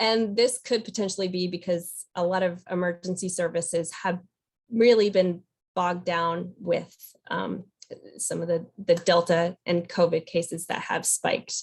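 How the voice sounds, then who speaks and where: With a somewhat breathy voice, a woman speaks at a moderate pace in a fairly low pitch and fairly even intonation. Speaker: state program presenter. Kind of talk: webinar data presentation. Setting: webinar.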